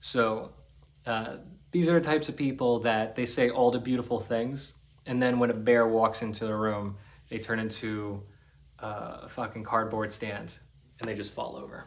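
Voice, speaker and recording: A man with an American accent at a moderate pace, ordinary pitch variation throughout. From New Jersey / Staten Island, US; New Jersey. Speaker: spiritual healer and YouTuber; spiritual vlogger. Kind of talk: solo monologue to camera. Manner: casual. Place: home room. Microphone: phone near.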